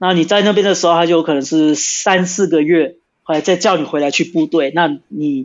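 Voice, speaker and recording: This man's voice sits high for a man, with ordinary pitch variation. He keeps a moderate pace. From Brazil (São Paulo), Brazilian-Taiwanese. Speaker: former soldier and police officer. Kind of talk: casual interview. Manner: halting.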